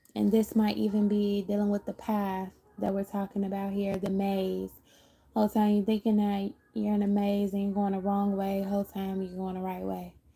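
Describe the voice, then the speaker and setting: A woman's somewhat breathy voice, dark and mellow in tone, carries a monotone, flat intonation. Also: medium pitch for a woman, moderate pace. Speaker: tarot reader. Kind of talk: live tarot reading.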